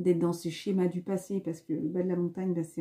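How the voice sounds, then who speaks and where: Her voice is somewhat breathy, with a dark, mellow tone at a medium pitch for a woman. She talks at a fairly quick pace with fairly even intonation. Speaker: spiritual card reader. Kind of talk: spiritual card reading monologue. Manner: fast; hesitant, many fillers.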